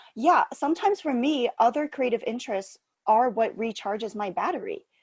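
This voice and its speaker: A woman with a high pitch, an animated tone, very wide pitch swings and a fairly quick pace. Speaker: podcast host, mental health organization founder. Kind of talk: casual chat.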